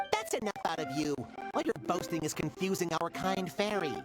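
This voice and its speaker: In a put-on character voice at a middle pitch, the speaker goes at a fairly quick pace with clear music in the background. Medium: machinima. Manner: blunt, dismissive.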